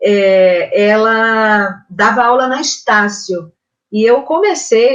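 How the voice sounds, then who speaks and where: A woman's fairly high voice moves with lively intonation. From Brazil, Northeast (Pernambuco/Ceará family). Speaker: singer and voice teacher. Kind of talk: interview. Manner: halting, many repetitions.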